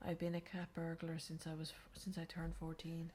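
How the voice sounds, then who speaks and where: A soft-spoken woman talks at a moderate pace in an Irish accent, her voice somewhat breathy. Her tone is dark and mellow, with a very deep, low pitch. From Ireland. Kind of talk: reading game character bios aloud. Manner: soft-spoken, quiet.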